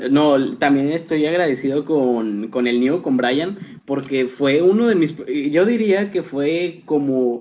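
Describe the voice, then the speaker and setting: A man's fairly high voice at a very slow pace, lively intonation, very even loudness. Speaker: YouTuber and student. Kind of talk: casual chat. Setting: video call.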